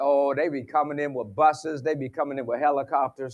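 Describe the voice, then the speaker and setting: A man with an Appalachian accent talks at a fairly quick pace. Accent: Appalachian Southern US. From West Virginia. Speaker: sports psychologist and motivational speaker. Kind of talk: conference keynote with humor. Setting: stage with audience. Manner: animated.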